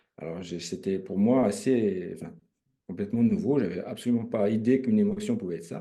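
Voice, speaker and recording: Fairly quick male speech with big swings in loudness. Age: 60s. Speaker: retired railway worker and emotion practitioner. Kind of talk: testimony. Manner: halting, many hesitations.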